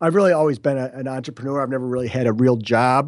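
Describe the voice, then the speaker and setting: A man at a medium pitch with an American accent. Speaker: real estate investor. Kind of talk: podcast interview. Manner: fast talker.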